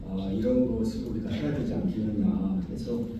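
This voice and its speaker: Noticeable background noise and audible room echo are present. A man talks over them with lively intonation. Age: 60s. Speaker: pastor and retired engineering professor. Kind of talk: press statement. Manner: halting, many fillers.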